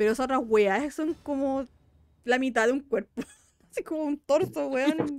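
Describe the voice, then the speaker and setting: A high-pitched woman's voice in a Chilean accent, dry and close with no echo. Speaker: podcast host. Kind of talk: casual chat.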